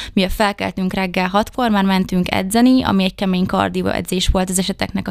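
In a very clean recording with a silent background, a woman with a normal speaking voice talks at medium pitch with fairly even intonation and hardly any pauses. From Hungary, Debrecen. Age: 20s. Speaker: beauty pageant contestant. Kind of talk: interview. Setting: studio.

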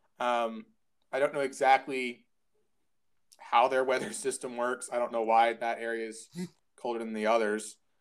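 Long, frequent pauses break up a man's flat, monotone delivery, pitched in the medium range and with an American accent. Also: moderate pace. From United States. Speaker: podcast co-host. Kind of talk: casual chat. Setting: at home.

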